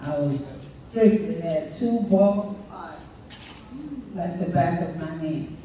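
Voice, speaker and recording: Someone talks at a very slow pace in a room with audible echo, the loudness swinging widely against noticeable background noise. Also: woman, fairly low pitch for a woman, ordinary pitch variation. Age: 60s. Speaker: hair care panelist. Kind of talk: panel discussion. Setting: panel event with audience.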